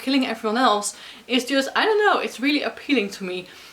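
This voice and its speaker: A woman with a Dutch accent talks in a high, animated voice. Noticeable background noise runs behind her. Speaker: book vlogger. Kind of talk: casual vlog talk to camera.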